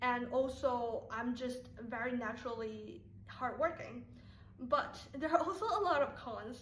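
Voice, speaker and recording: Speaking at a fairly slow pace, a woman with a high pitch and ordinary pitch variation is heard over noticeable background noise and audible room echo. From Taiwan. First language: Mandarin Chinese. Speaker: YouTuber. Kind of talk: casual vlog talk to viewers.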